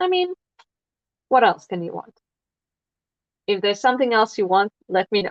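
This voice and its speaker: The speech has long, frequent pauses. Its pitch swings very widely. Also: woman, fairly high pitch for a woman, moderate pace. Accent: non-native. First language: not English. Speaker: crafting livestreamer. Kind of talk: casual livestream chat while crafting. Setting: livestream. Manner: hesitant, many fillers.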